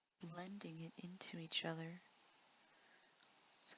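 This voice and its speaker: A woman speaks in a gentle tone. She is soft-spoken. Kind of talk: ASMR art tutorial narration. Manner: soft-spoken, gentle.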